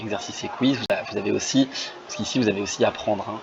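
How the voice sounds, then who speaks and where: A man's fairly quick speech with fairly even intonation over noticeable background noise. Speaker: French teaching volunteer. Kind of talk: screen-share tutorial. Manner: fast; hesitant, many fillers.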